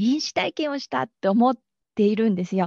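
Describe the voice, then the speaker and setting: A dark, mellow tone with lively intonation over a quiet background. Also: woman. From Japan, Aichi. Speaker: bridal florist and energy healer. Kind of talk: interview.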